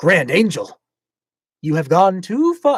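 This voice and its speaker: Using a put-on character voice, a man talks at a high pitch and a fairly slow pace. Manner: grand, solemn, admonishing.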